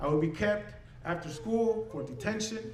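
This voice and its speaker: This man speaks with an American accent and very wide pitch swings. Noticeable background noise and audible room echo are present. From Southern California (Westminster), Mexican-born. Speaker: English professor and storyteller. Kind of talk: personal testimony talk to audience.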